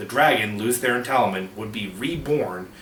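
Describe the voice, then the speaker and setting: Ordinary pitch variation and a moderate pace come through audible room echo and noticeable background noise. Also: man. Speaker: book video creator. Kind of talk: informal explainer monologue. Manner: halting, many filler uh's and restarts.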